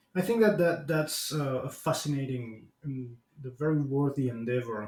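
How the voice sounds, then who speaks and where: Speaking at a moderate pace with a Spanish accent, a man uses a fairly high pitch and ordinary pitch variation. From Argentina. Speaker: podcast host. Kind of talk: interview. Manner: halting, many repetitions and fillers.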